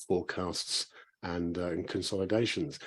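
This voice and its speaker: A man in a British accent, fairly quick in pace, against a quiet background. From UK. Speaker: software company representative. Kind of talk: panel discussion.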